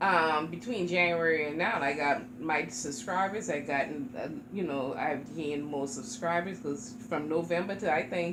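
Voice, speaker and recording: A woman with an American accent speaks at a moderate pace in a fairly low voice, her intonation lively, with noticeable background noise and audible room echo. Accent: sounds Jamaican to others. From South Carolina, Charleston. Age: 40s. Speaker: reborn doll YouTuber. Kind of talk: casual chat.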